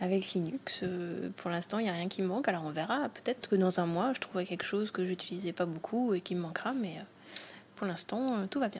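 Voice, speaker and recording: A woman's somewhat breathy, medium-pitched voice at a fairly quick pace, with ordinary pitch variation, in a very clean recording with a silent background. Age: 20s. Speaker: host's partner, non-tech user. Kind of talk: casual interview chat.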